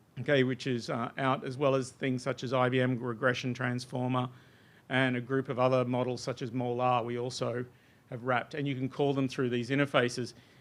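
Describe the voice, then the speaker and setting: With an Australian accent, a man speaks at a fairly quick pace and medium pitch in a monotone, flat intonation against a quiet background. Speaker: software researcher presenting a demo. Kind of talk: technical workshop presentation.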